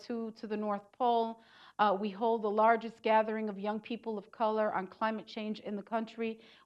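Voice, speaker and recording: With a New York accent, a woman speaks at a fairly high pitch in a flat monotone, hardly pausing at all. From New York City. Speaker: community organizer. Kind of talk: lecture.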